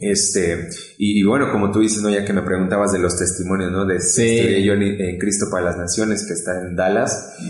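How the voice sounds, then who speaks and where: A man speaks at a fairly quick pace in a fairly low pitch with fairly even intonation, with noticeable background noise and audible room echo. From Mexico, State of Mexico. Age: 30s. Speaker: pastor. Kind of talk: testimony.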